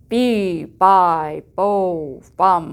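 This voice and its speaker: A put-on character voice is heard. It sounds booming. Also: woman. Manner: bawling, loud.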